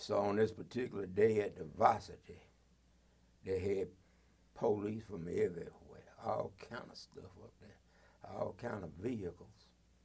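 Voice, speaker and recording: Fairly slow and somewhat breathy, a man talks at a fairly low pitch with fairly even intonation. His loudness swings widely, and he leaves long, frequent pauses. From Athens, Georgia, US South. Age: 80s+. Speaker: retired police officer and reverend. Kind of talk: oral history interview.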